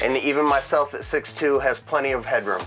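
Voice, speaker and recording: At a moderate pace, a man talks while music plays faintly behind him. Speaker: presenter. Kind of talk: product tour presentation. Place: home room.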